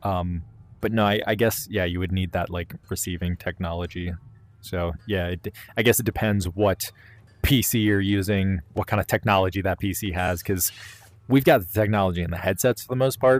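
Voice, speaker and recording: Music plays in the background as a man speaks. His pitch is fairly low, with ordinary variation. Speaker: VR gaming YouTuber. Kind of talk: casual solo commentary. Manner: fast; rambling with many fillers.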